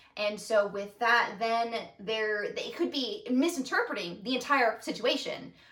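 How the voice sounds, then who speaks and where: Background noise is noticeable as a woman speaks at a fairly slow pace. Her pitch is fairly high. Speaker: podcast co-host, daughter. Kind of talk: casual conversational podcast discussion. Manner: passionate, emotional.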